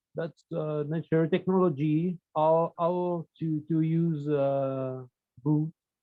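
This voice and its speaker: Very slow and monotone, with flat intonation, a man with a non-native accent speaks at a fairly high pitch. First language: not English. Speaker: student. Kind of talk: class discussion. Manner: halting.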